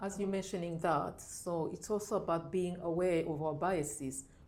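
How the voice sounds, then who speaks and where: In a room with audible echo, a woman speaks at a moderate pace, with a fairly low pitch and fairly even intonation. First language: not English. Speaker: diversity and inclusion manager. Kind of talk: podcast discussion.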